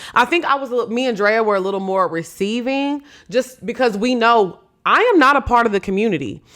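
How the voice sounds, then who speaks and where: In a very clean recording with a silent background, a woman speaks loudly at a moderate pace, her fairly high pitch, bright, sharp tone and lively intonation giving an animated tone. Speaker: podcast host. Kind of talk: casual commentary.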